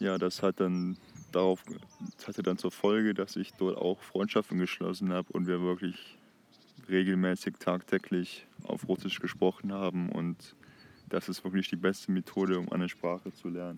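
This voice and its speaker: A man with a very deep, low pitch speaks at a moderate pace in monotone, flat intonation. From Germany, Heinsberg district (North Rhine-Westphalia). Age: 20s. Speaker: language-learning podcaster. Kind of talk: casual monologue. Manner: halting, self-correcting.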